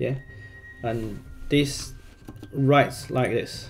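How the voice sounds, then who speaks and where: A man with a Chinese accent and ordinary pitch variation, with music in the background. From China. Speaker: gaming YouTuber. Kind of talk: tutorial. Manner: halting, many fillers and repeats.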